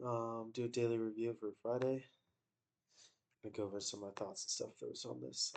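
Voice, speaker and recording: The voice is quiet and moves at a very fast pace. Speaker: day trader. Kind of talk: casual trading review. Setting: in bed, recording on laptop. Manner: quiet, keeping voice down.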